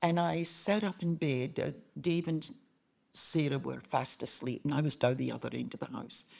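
A woman speaks with a Scottish accent at a moderate pace. The recording is very clean, with a silent background. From Glasgow, Scotland. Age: 80s+. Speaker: retired missionary. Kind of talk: interview testimony. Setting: in-person sit-down interview.

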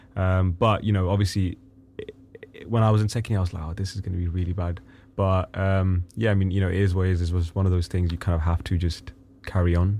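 A man talks at a very fast pace. His voice is very deep and low, with a dark, mellow tone. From Pakistan. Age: 20s. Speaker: singer-songwriter. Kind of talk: interview. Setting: studio. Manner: excitable.

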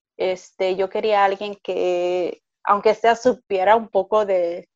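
Her intonation fairly even, a woman at a medium pitch talks in a normal speaking voice. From Puerto Rico. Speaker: mother sharing birth stories. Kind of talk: interview, personal testimony.

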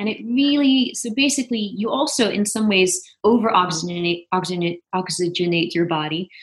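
A woman's somewhat breathy voice with lively intonation at a moderate pace. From Netherlands, Venlo (southeast). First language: Dutch. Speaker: actress. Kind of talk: casual chat.

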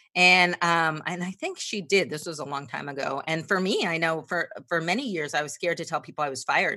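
In a quiet background, a woman with an American accent speaks at a fairly quick pace with hardly any pauses, her fairly low voice bright and sharp in tone with ordinary pitch variation. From New Jersey. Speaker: sales trainer. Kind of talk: interview.

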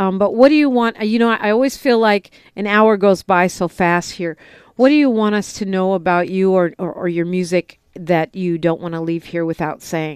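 A woman's medium-pitched, ordinary speaking voice at a moderate pace, with ordinary pitch variation, a dry, close sound with no echo and a quiet background. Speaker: radio talk show host. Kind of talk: radio interview. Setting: studio.

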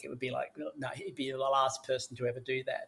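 Here a man speaks with an Australian accent at a medium pitch. His pace is fairly quick and his intonation fairly even. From Sydney, Australia. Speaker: drug education expert. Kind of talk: interview.

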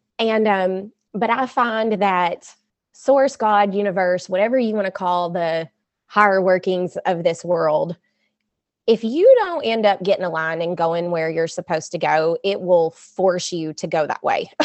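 Speaking at a fairly slow pace with an American accent, a woman has a plain, everyday voice, medium pitch and ordinary pitch variation. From US South. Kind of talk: casual interview.

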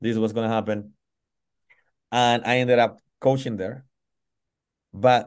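With a Spanish accent, this man talks at a moderate pace in a medium pitch. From Colombia, Pacific coast (Tumaco). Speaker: football goalkeeping coach. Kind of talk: interview. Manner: halting, many fillers.

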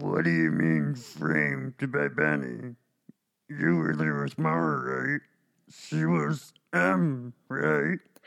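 A man puts on a character voice with a very deep, low pitch and lively intonation. He talks at a very slow pace, his loudness very even. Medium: actual play. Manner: blunt, plain-spoken.

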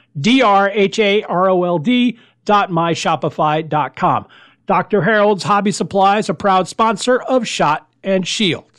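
Against a quiet background, a man with a high pitch speaks very slowly in an American accent, his loudness very even. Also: ordinary pitch variation. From US Florida. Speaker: podcast host, wargaming hobbyist. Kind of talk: casual podcast host chat and movie review. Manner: conversational, informal, mildly self-deprecating.

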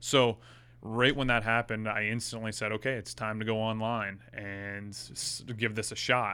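The recording is very clean, with a silent background. A man speaks at a moderate pace in a fairly low, bright, sharp voice with monotone, flat intonation. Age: 30s. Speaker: golf fitness coach. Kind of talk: casual chat.

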